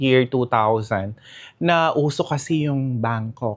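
A man with a normal speaking voice talks in a medium register, his pitch varying in an ordinary way. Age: 50s. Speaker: fashion designer. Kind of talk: interview.

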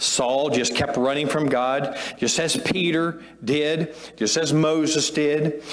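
A man speaks at a fairly slow pace, his intonation fairly even. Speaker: pastor. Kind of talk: sermon. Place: church. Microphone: lapel.

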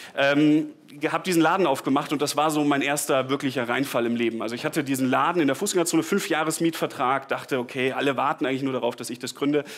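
Over faint background music, a man speaks very fast with fairly even intonation. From Bavaria (Tegernsee), southern Germany; Bavaria. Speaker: startup founder. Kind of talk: conference talk. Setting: stage with audience. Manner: casual, with many fillers and repetitions. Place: hall.

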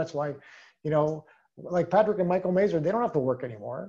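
The tone of this man's voice is dark and mellow. Behind him the background is quiet. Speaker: sales team leader. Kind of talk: motivational training talk. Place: home room. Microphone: video call.

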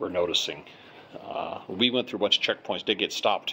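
A man is speaking. Light noise sits in the background. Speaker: traveler vlogger. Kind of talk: casual vlog chat. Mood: mildly disappointed. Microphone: phone near.

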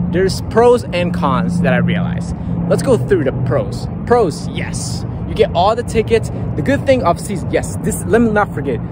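A man at a fairly quick pace, dry sound with no echo, loud background noise behind him. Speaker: sports fan vlogger. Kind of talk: casual vlog chat. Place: stadium. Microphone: phone near.

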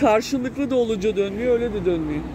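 Clear background noise sits behind a woman speaking at a fairly high pitch.

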